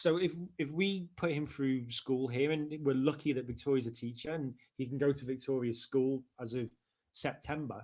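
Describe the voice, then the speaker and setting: A man with a Liverpool accent speaks at a moderate pace. His intonation stays fairly even. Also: medium pitch for a man. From Liverpool, England. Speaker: marketing director. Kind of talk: interview conversation. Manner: conversational, with hesitations.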